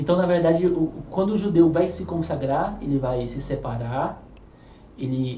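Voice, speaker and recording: In audible room echo, a man with a fairly high pitch and ordinary pitch variation speaks at a fairly slow pace. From Brazilian Northeast. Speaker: podcast host. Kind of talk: podcast interview.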